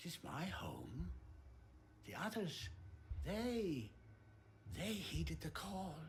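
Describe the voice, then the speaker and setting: A put-on character voice at middle pitch goes very slowly with long, frequent pauses, with clear background noise present. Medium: video game. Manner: serene, solemn.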